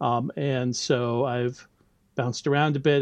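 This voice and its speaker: The background stays quiet. A man talks with an American accent. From US. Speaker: university lecturer in biology. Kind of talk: casual interview conversation.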